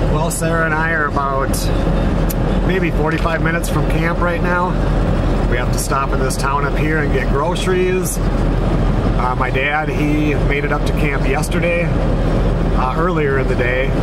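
Loud background noise runs under the speech. The pace is fairly slow, and the sound is dry with no echo. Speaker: hunting vlogger driving. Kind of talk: casual vlog chat. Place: car. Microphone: phone near.

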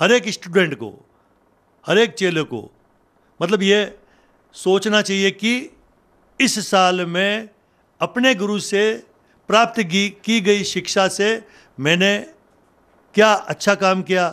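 A man speaks with fairly even intonation and long, frequent pauses. The recording is very clean, with a silent background. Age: 60s. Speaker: journalist and local news channel host. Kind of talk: monologue talk to camera.

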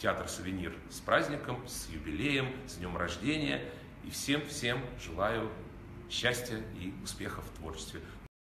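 With noticeable background noise behind him, a man speaks at a fairly slow pace and a fairly low pitch. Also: big swings in loudness. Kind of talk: congratulatory address. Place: hall.

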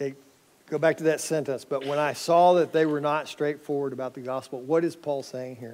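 This man talks at a fairly quick pace in a monotone, flat delivery. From North Texas. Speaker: pastor. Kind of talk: sermon. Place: church. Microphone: headset.

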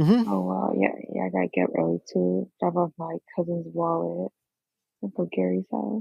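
In an American accent, a woman talks at a moderate pace with a dry, close sound with no echo. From New York. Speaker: guest. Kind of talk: casual chat.

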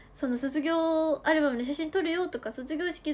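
At a moderate pace, a woman talks in a cheerful tone. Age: 20s. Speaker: idol livestreamer. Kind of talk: fan livestream chat. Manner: cheerful, frequent laughter. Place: home room. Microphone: phone near.

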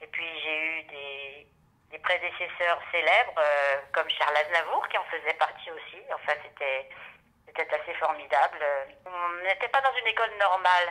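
The tone is bright and sharp. It moves at a fairly slow pace. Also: woman, fairly low pitch for a woman, ordinary pitch variation, big swings in loudness. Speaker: voice actress. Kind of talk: interview. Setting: at her home. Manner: hesitant.

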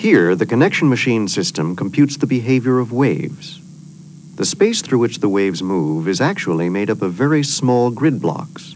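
Amid noticeable background noise, a man talks with very wide pitch swings. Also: medium pitch for a man, moderate pace. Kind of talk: 1989 corporate promo film narration. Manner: formal, measured and authoritative; polished, even-paced, and didactic.

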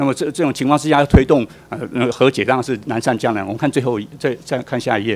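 A man with a medium pitch talks at a very fast pace, with ordinary pitch variation. The recording is very clean, with a silent background. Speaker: policy researcher. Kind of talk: testimony at public hearing.

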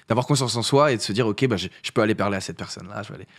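Ordinary pitch variation from a man, with a quiet background. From northern France, Paris region (Essonne) for teens; northern France. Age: 20s. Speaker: content creator and musician; content creator. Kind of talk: casual interview chat. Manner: hesitant, many fillers. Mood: relaxed, animated, laughs at times. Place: studio. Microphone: studio mic.

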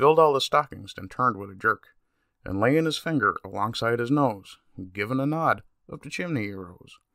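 A man with a Newfoundland accent, fairly high in pitch, bright and sharp in tone, with lively intonation, in a dry, close sound with no echo. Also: very clean recording, silent background. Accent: Newfoundland English, lightly emphasized. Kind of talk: poetry reading.

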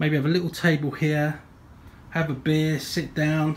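A man talks at a moderate tempo, with a little noise in the background. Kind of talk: casual vlog chat. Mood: relaxed, pleased. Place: garage. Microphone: phone near.

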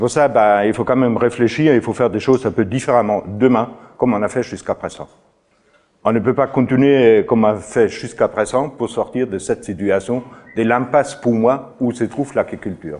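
A man at a moderate pace, with ordinary pitch variation and a quiet background. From outside France. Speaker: farmer and trainer. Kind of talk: lecture. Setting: stage with audience. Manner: halting. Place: meeting room.

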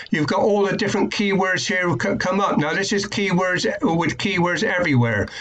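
The man's voice sits high in pitch. His intonation is lively. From UK. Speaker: online marketing YouTuber; online marketing tutor. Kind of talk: tutorial. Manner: hesitant, many fillers. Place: home room. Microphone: webcam.

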